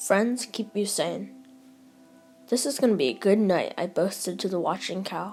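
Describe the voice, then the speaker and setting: Music plays in the background while a woman with a fairly high pitch talks at a moderate pace with lively intonation. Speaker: audiobook narrator. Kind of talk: audiobook reading.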